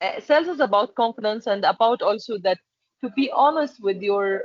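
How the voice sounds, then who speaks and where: A woman talks in an Arabic accent. Her pitch sits fairly high. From Egypt. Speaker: export and packaging manager. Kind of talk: interview. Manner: halting.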